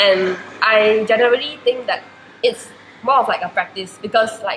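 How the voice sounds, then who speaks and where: A woman with a Chinese accent, fairly high pitch, fairly even intonation and a moderate pace, against noticeable background noise. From Malaysia. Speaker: university student. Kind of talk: interview. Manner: hesitant, many fillers.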